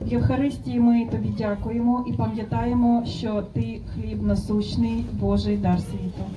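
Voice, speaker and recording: With a Ukrainian accent, a woman speaks at a moderate pace with hardly any pauses over noticeable background noise. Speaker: interpreter translating into Ukrainian. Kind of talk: consecutive interpreting of a blessing. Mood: solemn, measured. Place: garden.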